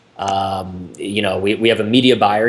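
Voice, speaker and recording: A man's fairly low-pitched voice comes through over noticeable background noise. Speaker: internet marketing business owner. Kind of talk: interview. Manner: fast; casual, filler-heavy.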